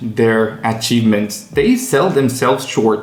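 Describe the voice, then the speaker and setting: A man with an American accent at a fairly slow pace, with music in the background. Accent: American-sounding English. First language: non-native English. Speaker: English learning coach. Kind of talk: casual talk to camera.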